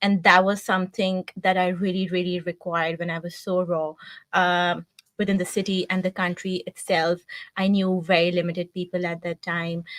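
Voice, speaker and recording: In a strong Pakistani accent, a woman with a fairly low pitch speaks in a flat monotone, recorded very cleanly against a silent background with a dry, close sound and no echo. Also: moderate pace. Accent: thick Pakistani. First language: Urdu. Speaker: marketing team member. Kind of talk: interview.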